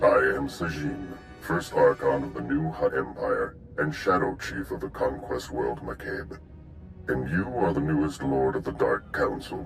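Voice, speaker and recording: Using a put-on character voice, a man speaks at a moderate pace with clear background noise. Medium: video game. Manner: haughty, condescending.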